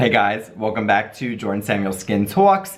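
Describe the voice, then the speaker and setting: Using a put-on character voice, a man talks at a moderate pace in a raspy, fairly low pitch with monotone, flat intonation. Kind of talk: YouTuber intro.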